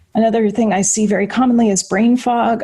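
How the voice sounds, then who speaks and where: Her intonation fairly even and marked by vocal fry, a woman speaks at a moderate pace. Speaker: physician. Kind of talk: lecture.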